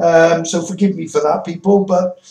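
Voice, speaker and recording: A man with a British accent speaks at a moderate pace in a monotone, flat intonation. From Wales. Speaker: religious YouTuber. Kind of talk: monologue vlog. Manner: stuttering; halting, repetitive.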